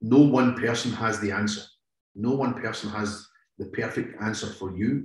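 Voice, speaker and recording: This man has a Scottish accent and a fairly low pitch, with ordinary pitch variation. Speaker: police negotiator. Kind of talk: interview.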